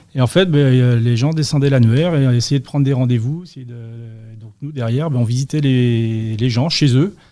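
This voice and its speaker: Speaking at a moderate pace, a man with a medium-pitched voice has a dark, mellow tone and ordinary pitch variation. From western France, Vendée. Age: 40s. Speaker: sales and customer service professional. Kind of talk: interview.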